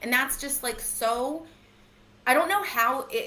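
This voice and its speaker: A woman is speaking with audible room echo. Noticeable background noise sits behind her voice. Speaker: true crime commentator. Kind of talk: casual chat. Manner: fast.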